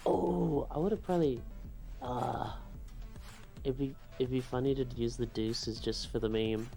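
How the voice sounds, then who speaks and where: A man with an American accent speaks quietly at a medium pitch and a moderate pace, his loudness very even and his pitch variation ordinary. He leaves long, frequent pauses, and music plays in the background. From West Virginia. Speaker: streamer watching a tournament. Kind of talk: casual chat. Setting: home office livestream. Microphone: echoey room.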